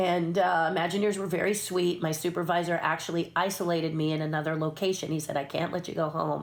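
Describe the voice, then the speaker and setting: Speaking at a fairly quick pace, a woman with an American accent uses a very deep, low pitch and fairly even intonation. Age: 60s. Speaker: puppeteer and former theme park designer. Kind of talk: interview storytelling.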